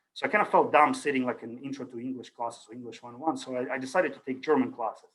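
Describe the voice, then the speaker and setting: Speaking very fast with a Russian accent, a man keeps a medium pitch and ordinary pitch variation. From Ukraine. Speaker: university lecturer. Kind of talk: lecture. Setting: video call. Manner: casual, hesitant with fillers.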